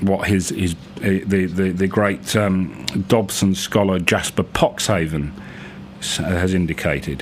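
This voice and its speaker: A man's very deep, low voice at a fairly slow pace with fairly even intonation, over noticeable background noise. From England. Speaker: writer and radio presenter. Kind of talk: casual radio presenter talk. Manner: hesitant, rambling.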